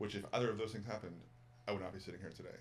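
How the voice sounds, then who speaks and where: Audible room echo colors a man's fairly low voice, which shows ordinary pitch variation. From Massachusetts, outside Boston. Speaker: former college basketball coach, yoga teacher. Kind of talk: casual interview chat. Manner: animated, repetitive with fillers.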